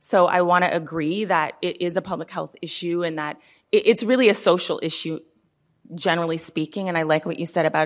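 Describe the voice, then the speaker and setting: A woman with a normal speaking voice talks at a fairly quick pace in a fairly low pitch with ordinary pitch variation, on a very clean recording with a silent background. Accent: American. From US West Coast, Oakland, California. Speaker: former police officer, gender-based violence expert. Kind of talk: panel discussion. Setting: stage with live audience.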